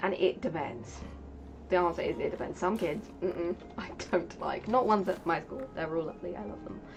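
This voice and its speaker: With a British accent, a woman speaks at a fairly quick pace and fairly low pitch. Her intonation is lively and her loudness swings widely. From Britain. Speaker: streamer. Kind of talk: casual chat.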